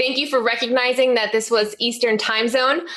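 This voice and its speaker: A woman speaks with an American accent. Noticeable background noise runs behind her. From US Northeast, Connecticut. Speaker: teacher and podcast host. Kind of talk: webinar presentation. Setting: online webinar.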